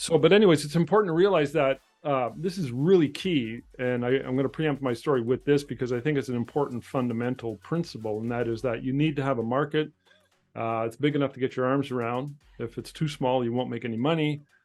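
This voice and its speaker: Music plays in the background as a man speaks at a medium pitch. He goes at a very fast pace with ordinary pitch variation. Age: 60s. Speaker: portrait photographer. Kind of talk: casual chat.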